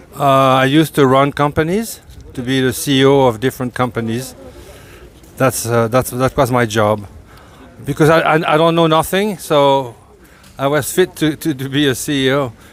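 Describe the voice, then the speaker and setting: Over noticeable background noise, a man talks at a moderate pace and medium pitch with ordinary pitch variation and long, frequent pauses. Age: 70s. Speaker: motorcycle traveler, retired company executive. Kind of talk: interview.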